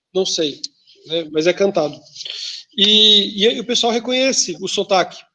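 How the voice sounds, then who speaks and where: A raised, projected voice with a southern Brazilian accent moves at a fairly slow pace with ordinary pitch variation. Long, frequent pauses break it up. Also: man, high pitch for a man. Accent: southern Brazilian sing-song. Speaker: teacher. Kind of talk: lecture. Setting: video call. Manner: casual, with many fillers.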